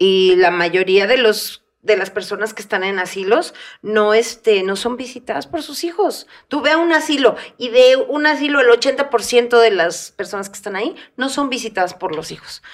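A woman's normal speaking voice, fairly high in pitch, with lively intonation, a moderate pace and big swings in loudness. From Mexico. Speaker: comedian. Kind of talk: casual chat.

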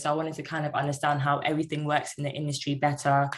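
A woman speaks with a London accent. Her pitch is very deep and low. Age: 20s. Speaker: cloud architect apprentice. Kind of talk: interview.

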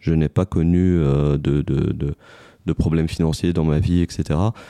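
A man speaks at a very slow pace with a very deep, low pitch and fairly even intonation. The sound is dry and close, with no echo. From Tunisia. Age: 40s. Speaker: telecom company executive. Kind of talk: interview. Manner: hesitant, frequent fillers.

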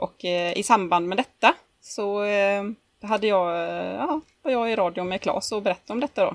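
A woman's medium-pitched voice, a normal speaking voice with ordinary pitch variation, at a moderate pace, dry and close with no echo. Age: 30s. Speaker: podcast co-host, pinup model. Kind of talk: casual chat.

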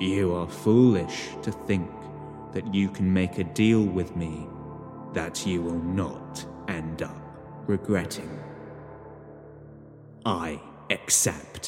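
A man growls in a put-on character voice at a very slow pace, with long, frequent pauses. Clear music plays in the background. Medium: read story. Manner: smug, theatrical, scheming; menacing when closing the deal.

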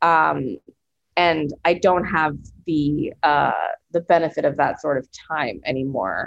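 A woman with a very deep, low pitch speaks at a fairly slow pace with vocal fry. Her pitch varies in an ordinary way, and she leaves long, frequent pauses. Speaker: author and screenwriter. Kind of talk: casual interview about grief.

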